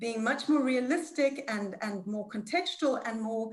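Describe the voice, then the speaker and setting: A somewhat breathy voice with lively intonation keeps a moderate tempo. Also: woman. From Zimbabwe. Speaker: panelist. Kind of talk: panel discussion. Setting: video call. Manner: halting.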